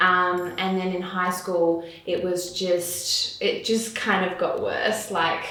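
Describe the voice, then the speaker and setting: A woman with a slight English accent, amid audible room echo and noticeable background noise. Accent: faint English. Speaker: makeup artist and business owner. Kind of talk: interview.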